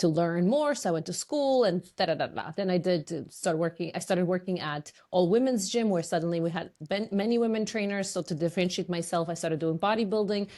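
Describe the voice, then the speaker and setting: Against a quiet background, a woman speaks at a very fast pace in a dark, mellow tone, her pitch fairly low with ordinary variation. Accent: Polish. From Poland. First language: Polish. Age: 40s. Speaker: fitness and business coach. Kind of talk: podcast interview.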